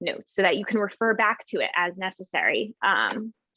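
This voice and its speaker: A woman speaks at a moderate pace in a plain, everyday voice with fairly even intonation. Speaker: university learning consultant. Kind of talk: workshop presentation.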